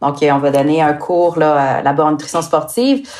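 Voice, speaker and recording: Talking in a Quebec accent, a woman keeps a fairly slow pace and fairly even intonation. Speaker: sports nutritionist. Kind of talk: podcast interview. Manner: hesitant, many fillers.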